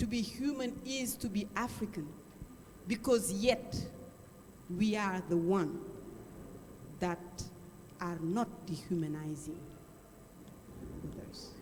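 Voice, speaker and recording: A woman of medium pitch speaks at a very slow pace with long, frequent pauses. Her intonation is lively over noticeable background noise. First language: Wolof and Bambara. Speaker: audience participant. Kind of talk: panel discussion.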